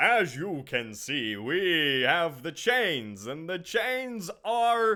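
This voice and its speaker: In a put-on character voice, a man projects loudly at a high pitch, his pitch swinging very widely as he goes at a very slow pace. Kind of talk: infomercial pitch.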